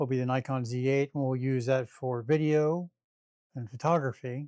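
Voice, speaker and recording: A man at a fairly high pitch and moderate pace, recorded very cleanly with a silent background and a dry, close sound with no echo. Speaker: live streamer testing camera gear. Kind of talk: casual live-stream setup talk. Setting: live stream home setup. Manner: loud; rambling, halting with repeats.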